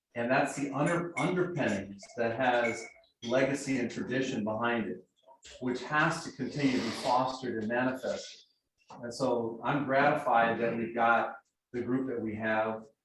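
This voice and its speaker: With an American accent, the speaker goes at a moderate pace and ordinary pitch variation. There is audible room echo. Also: man, medium pitch for a man. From Southern California (Riverside, San Bernardino). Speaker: service club member giving a talk. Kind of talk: personal speech to club members. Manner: halting with many fillers.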